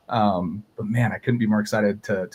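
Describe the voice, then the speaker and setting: The man's fairly low voice runs at a fairly quick pace with fairly even intonation. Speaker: dental software sales executive. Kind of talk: casual interview chat. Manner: fast.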